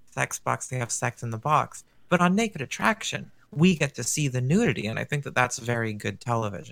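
A plain, everyday voice moves at a fairly quick pace with hardly any pauses. Its intonation is lively. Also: man, medium pitch for a man. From Canada. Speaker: guest. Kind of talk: casual podcast chat. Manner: playful, joking.

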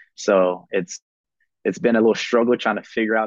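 Against a quiet background with a dry, close sound and no echo, a man with a Southern US accent talks at a moderate pace, his fairly low voice keeping fairly even intonation. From South Carolina, Columbia. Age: 20s. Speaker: baseball player and reality TV contestant. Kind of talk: casual interview.

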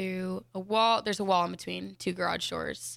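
Here is a woman with a Mountain West accent, speaking at medium pitch and a moderate pace. The recording is very clean, with a silent background. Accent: general American, Mountain West. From Denver, Colorado. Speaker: college gymnast and radio co-host. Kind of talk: casual chat. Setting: live radio studio show.

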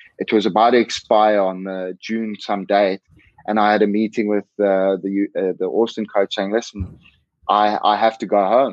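A man's fairly low-pitched voice at a moderate pace, monotone and flat in intonation. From South Africa. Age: 20s. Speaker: professional rugby player. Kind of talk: interview.

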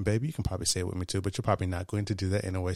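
A somewhat breathy man's voice, fairly low in pitch, on a very clean recording with a silent background. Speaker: podcast host. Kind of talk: casual chat. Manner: animated.

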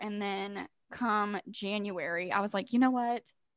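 In a very clean recording with a silent background, a woman with an American accent speaks in an unremarkable speaking voice at medium pitch with ordinary pitch variation. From Missouri. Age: 20s. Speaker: podcast co-host. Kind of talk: casual chat.

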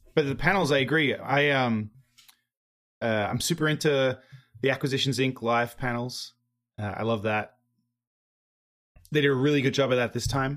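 A man with an Australian accent speaks at a moderate pace and medium pitch. His intonation is fairly even, and he takes long, frequent pauses. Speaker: podcast host. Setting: living on the US East Coast.

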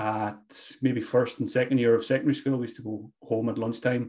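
A man's medium-pitched, monotone, flat delivery at a fairly quick pace, against a quiet background. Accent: Donegal. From Ireland, County Donegal. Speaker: fantasy football expert. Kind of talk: casual interview. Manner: repetitive, hesitant fillers.

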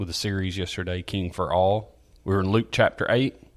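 A man with a Southern US accent, very deep and low in pitch, at a moderate pace with fairly even intonation. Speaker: church podcast host. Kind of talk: casual chat.

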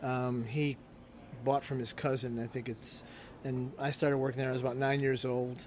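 A man with an American accent, medium pitch, monotone and flat intonation, and a moderate pace. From Chicago south suburbs. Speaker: restaurant owner and baker. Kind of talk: interview. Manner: halting.

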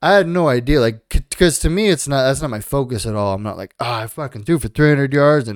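A man speaks here. He has an ordinary speaking voice with ordinary pitch variation. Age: 30s. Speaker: podcast co-host. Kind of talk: casual chat.

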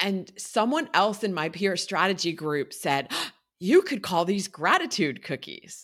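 A woman with an unremarkable speaking voice talks at a fairly slow pace and medium pitch. Her intonation is lively, and the recording is very clean with a silent background. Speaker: wellness coach and podcaster. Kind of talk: casual interview chat.

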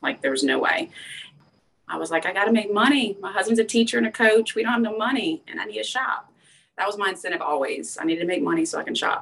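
Talking at a very fast pace, a woman's voice makes very wide pitch swings. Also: medium pitch for a woman. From Louisiana, LaPlace. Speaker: lifestyle influencer. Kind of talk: casual chat.

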